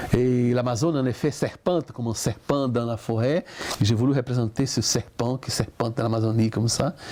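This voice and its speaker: Over noticeable background noise, a man speaks at a fairly quick pace with a medium pitch and fairly even intonation. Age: 60s. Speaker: artist. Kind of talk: interview. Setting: at his home.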